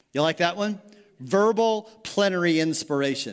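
A man uses a normal speaking voice, fairly high in pitch with lively intonation. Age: 60s. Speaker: pastor. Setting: church sanctuary with live congregation. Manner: relaxed, folksy and conversational, with frequent fillers and self-corrections; engaging the room with quick rhetorical questions and pauses for responses.

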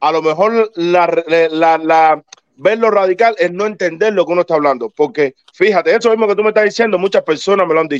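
Speaking at a fairly quick pace, a man with a high pitch keeps his loudness very even and his pitch variation ordinary, the sound dry and close with no echo. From Cuba. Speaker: baseball commentator panelist. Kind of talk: casual debate.

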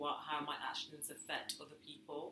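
At a moderate pace, a woman speaks in a room with audible echo. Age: 30s. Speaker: podcast co-host. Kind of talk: casual chat.

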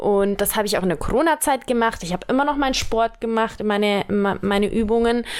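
A woman's fairly high, ordinary speaking voice with ordinary pitch variation at a moderate pace. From Germany, Allgäu (Bavarian Swabia). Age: 20s. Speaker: model. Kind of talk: casual chat. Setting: sitting on a bed at home.

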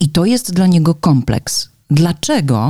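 Her tone is dark and mellow as the woman speaks in a somewhat breathy way. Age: 40s. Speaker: podcast co-host. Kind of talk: casual chat.

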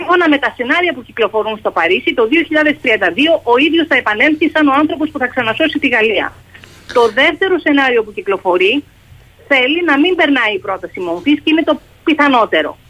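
Noticeable background noise surrounds a woman who speaks at a moderate pace, her high pitch swinging very widely. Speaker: journalist, foreign correspondent. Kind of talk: radio interview.

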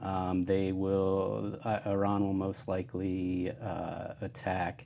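The voice is soft-spoken with a dark, mellow tone and an American accent. Its intonation stays fairly even. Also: man. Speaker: friend of the host. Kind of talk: casual chat.

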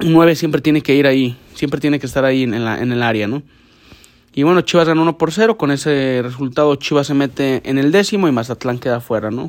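A man talks very fast with lively intonation and a fairly high pitch. The recording is very clean, with a silent background. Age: 20s. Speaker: football podcast host. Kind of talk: casual sports commentary podcast. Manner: halting, many repetitions and restarts.

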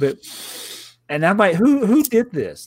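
Speaking with a Southern US accent, a man talks at a moderate pace with lively intonation. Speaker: podcast host and YouTuber. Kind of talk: casual chat.

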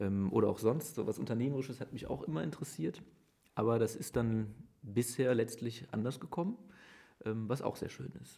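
Here a man speaks at a medium pitch and a moderate pace. His tone is dark and mellow, with ordinary pitch variation. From Germany, Aachen area. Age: 30s. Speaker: mayor. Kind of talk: interview. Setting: mayor's office.

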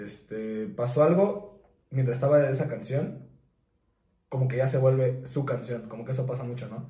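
A man with a Mexican accent speaks fairly quickly at a medium pitch, his dark, mellow tone somewhat breathy, with ordinary pitch variation and audible room echo. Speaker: podcast co-host. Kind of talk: casual chat.

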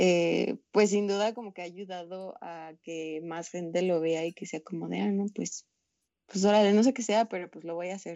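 A woman with a plain, everyday voice speaks at a moderate pace and medium pitch, with fairly even intonation and big swings in loudness. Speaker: environmental nonprofit founder. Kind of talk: casual chat.

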